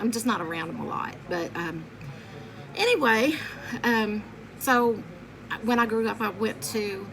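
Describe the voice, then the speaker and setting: Amid noticeable background noise and audible room echo, a woman with a Southern US accent talks in an animated tone at a fairly slow pace, with long, frequent pauses. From Kentucky (Lexington). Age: 50s. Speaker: vlogger. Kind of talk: casual vlog monologue. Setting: home bedroom by window. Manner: chatty, animated.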